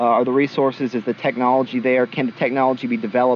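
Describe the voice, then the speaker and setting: Over noticeable background noise, a man talks very fast at a medium pitch. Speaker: podcast co-host. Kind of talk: casual podcast chat. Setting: podcast recording.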